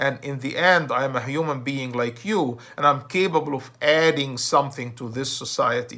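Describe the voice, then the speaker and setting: A man's bright, sharp tone at a fairly high pitch and a moderate pace. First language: Arabic. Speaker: self-help speaker. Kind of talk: motivational talk. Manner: hesitant, with false starts.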